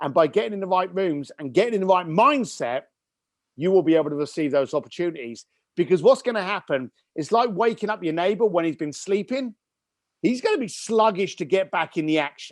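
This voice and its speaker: Animated and lively in intonation, a man with a British accent speaks at a high pitch and a fairly quick pace over a quiet background. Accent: British accent, noticeable to listeners. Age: 50s. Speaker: entrepreneur and business coach. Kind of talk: podcast interview.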